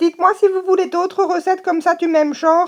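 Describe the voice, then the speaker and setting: A woman with an Alsatian accent at a fairly quick pace. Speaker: cooking video host. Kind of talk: casual talk to camera. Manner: humorous, chatty.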